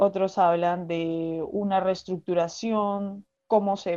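Here a woman speaks at a medium pitch. Her tone is dark and mellow, her intonation monotone and flat. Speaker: performing arts student and writer. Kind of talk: casual interview. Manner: halting, with many fillers and repetitions.

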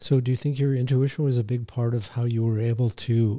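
On a very clean recording with a silent background, a man talks at a fairly quick pace and medium pitch in a flat monotone, his tone dark, mellow and somewhat breathy. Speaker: psychologist podcast co-host. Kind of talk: casual interview. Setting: studio.

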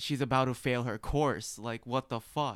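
A man talks at a fairly quick pace in a medium pitch, with an ordinary speaking voice. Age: 20s. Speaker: college student podcast co-host. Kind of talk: casual chat.

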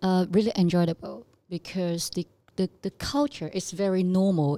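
In a Chinese accent, a woman speaks at a moderate pace with a fairly low pitch and a dark, mellow tone. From southern China (Zhanjiang, Guangdong). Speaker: fashion company executive. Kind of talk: casual interview chat.

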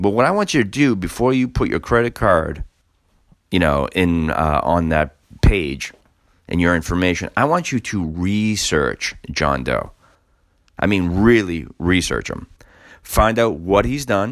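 A man speaks at a fairly slow pace in a very deep, low voice. His pitch swings very widely. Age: 40s. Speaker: podcast host and business owner. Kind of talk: casual solo commentary. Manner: conversational with frequent fillers.

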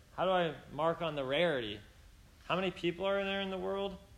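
Through audible room echo, a man with a high pitch speaks at a moderate pace with lively intonation. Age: 20s. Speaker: preacher. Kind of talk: sermon. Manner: casual, with many fillers.

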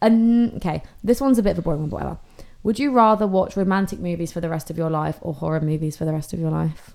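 With a British accent, a woman speaks very fast in a fairly low pitch, with a dark, mellow tone and lively intonation. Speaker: podcast co-host. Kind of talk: casual chat.

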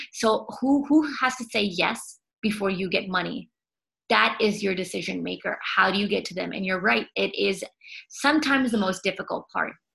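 Bright and sharp in tone, this voice with an American accent shows vocal fry, ordinary pitch variation and a moderate pace. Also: woman. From United States. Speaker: podcast host, sales entrepreneur. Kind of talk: interview podcast. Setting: video call.

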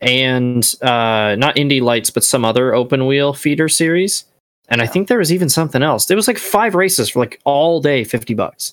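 A man with an unremarkable speaking voice talks at a fairly high pitch and moderate pace, lively in intonation, his loudness very even and the sound dry and close with no echo. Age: 20s. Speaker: returning podcast guest, racing fan. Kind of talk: casual chat.

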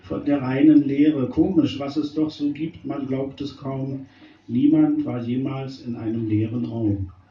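A man's fairly high pitch in an ordinary speaking voice, at a fairly slow pace with ordinary pitch variation. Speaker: slam poet. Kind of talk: poetry slam performance of short rhymed jokes. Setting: stage with live audience. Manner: playful and wry.

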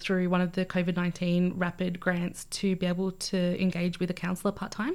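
A woman at a medium pitch with an Australian accent, in a very clean recording with a silent background. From Australia (Albury, then Canberra), born in Fiji. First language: Fijian language (learned English as a child). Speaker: community organisation manager. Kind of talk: interview.

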